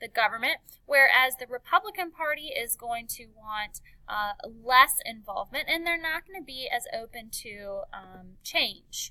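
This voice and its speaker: A woman's high-pitched, raised and projected voice with a bright, sharp tone, at a moderate pace, dry and close with no echo. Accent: American. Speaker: teacher. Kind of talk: lecture. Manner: many filler words.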